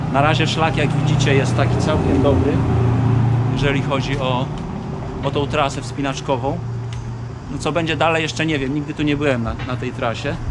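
This man talks fairly quickly while loud background noise fills the recording. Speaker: trip vlogger, group guide. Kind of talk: casual vlog chat. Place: street. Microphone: phone near.

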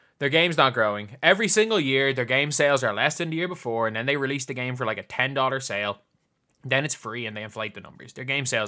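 On a very clean recording with a silent background, a man with an Irish accent talks at a very fast pace in a bright, sharp, animated tone, with lively intonation and big swings in loudness. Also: medium pitch for a man. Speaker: gaming YouTuber. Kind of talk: reaction video commentary.

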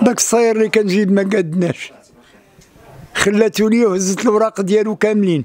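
His voice sits at a high pitch, with fairly even intonation. This man keeps his loudness very even. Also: moderate pace. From Morocco. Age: 70s. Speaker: street performer. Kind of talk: testimony. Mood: complaining, hardship. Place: home room. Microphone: handheld.

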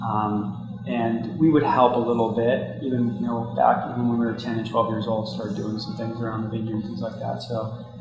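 A man with an American accent talks at a moderate pace and medium pitch with little pitch movement, with audible room echo and clear background noise.

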